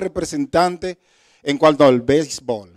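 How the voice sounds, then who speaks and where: A man with a Dominican accent speaks at a moderate pace in a fairly high pitch and ordinary pitch variation, on a very clean, dry, close recording with a silent background and no echo. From Dominican Republic. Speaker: guest preacher. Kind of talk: sermon. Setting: church service.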